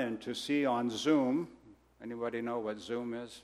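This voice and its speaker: A man with an American accent talks in a normal speaking voice at medium pitch, with fairly even intonation. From Brazil, raised by American missionary parents. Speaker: missionary. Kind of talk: sermon. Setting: church.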